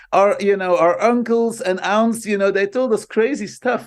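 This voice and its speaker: A man talks in a Dutch accent. His pitch is high. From Belgium (Flanders). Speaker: marketing professor. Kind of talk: interview. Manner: animated.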